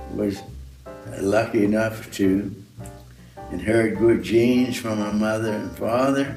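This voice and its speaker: A man with a fairly low voice speaks at a very slow pace, with long, frequent pauses and ordinary pitch variation, over background music and audible room echo. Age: 90s. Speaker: sculptor. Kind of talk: interview. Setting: studio.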